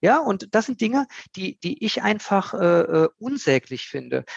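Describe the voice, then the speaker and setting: Heard over a quiet background, a man speaks at a high pitch with a dry, close sound and no echo. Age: 50s. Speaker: recruitment consultant. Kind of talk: casual interview.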